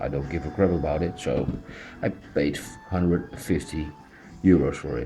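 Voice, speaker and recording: A man with a Dutch accent and a very deep, low pitch speaks at a moderate pace with fairly even intonation and long, frequent pauses, amid noticeable background noise and audible room echo. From Netherlands. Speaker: toy collector reviewer. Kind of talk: unboxing review. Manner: halting, many fillers.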